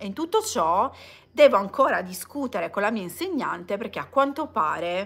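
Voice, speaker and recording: The speaker is a woman with lively intonation. She keeps to a moderate pace. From Italy. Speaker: vlogger. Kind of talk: casual livestream chat. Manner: hesitant with many fillers. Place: home room. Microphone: phone near.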